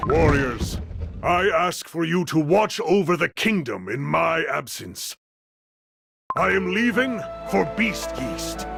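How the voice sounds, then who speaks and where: A man puts on a cartoonish character voice with a fairly high pitch and a fairly slow pace. Faint music plays in the background. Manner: formal, solemn, archaic.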